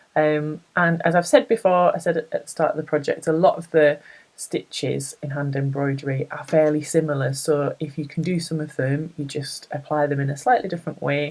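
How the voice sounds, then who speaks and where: Someone with a northern English accent talks at a fairly quick pace. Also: hardly any pauses. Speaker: embroidery crafter and blogger. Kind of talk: tutorial. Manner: casual, chatty with frequent 'um'.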